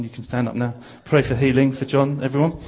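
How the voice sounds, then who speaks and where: Somewhat breathy medium-pitched speech from a man in a London accent, at a fairly quick pace. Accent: southern English (London). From southeast London (Bromley). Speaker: visiting preacher. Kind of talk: sermon.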